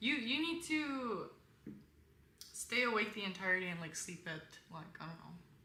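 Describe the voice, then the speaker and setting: A woman speaks at a moderate pace and medium pitch, with very wide pitch swings and big swings in loudness. Long, frequent pauses and audible room echo are present. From Korean background, bilingual. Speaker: content creator. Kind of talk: casual live-stream advice chat. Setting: live stream. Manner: casual, many fillers; colder in English.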